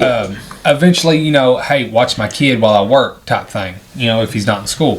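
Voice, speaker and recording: A man speaks at a fairly quick pace with a medium pitch. His pitch varies in an ordinary way, and there is noticeable background noise. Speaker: movie review podcast co-host. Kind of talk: casual chat, movie review.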